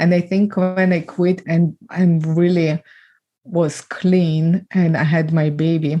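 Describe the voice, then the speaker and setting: In a Ukrainian accent, a woman speaks at a fairly low pitch with a dark, mellow tone. Her delivery is very slow and monotone, with flat intonation and very even loudness. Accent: Eastern European (Ukrainian). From Ukraine. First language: Ukrainian or Russian. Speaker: trafficking survivor and speaker. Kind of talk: podcast interview testimony.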